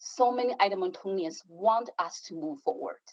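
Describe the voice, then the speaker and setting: With a non-native accent, a woman speaks in very wide pitch swings. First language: not English. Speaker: city councillor. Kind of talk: council debate speech. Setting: council chamber.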